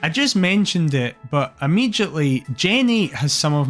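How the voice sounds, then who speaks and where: Over music in the background, a man with a Scottish accent talks at a moderate pace with lively intonation. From Scotland. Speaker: streamer. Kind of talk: video essay commentary. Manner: enthusiastic.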